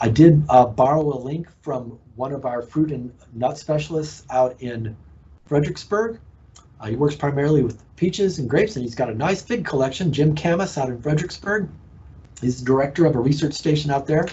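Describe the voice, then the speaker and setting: A man with a Texas accent speaks at a fairly quick pace. His fairly high voice is somewhat breathy, with ordinary pitch variation. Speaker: horticulture extension agent. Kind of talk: educational presentation. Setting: live online broadcast.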